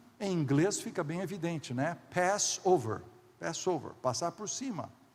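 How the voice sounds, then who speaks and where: Audible room echo surrounds the voice. A man speaks at a high pitch and a fairly slow pace. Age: 60s. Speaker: pastor. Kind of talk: sermon.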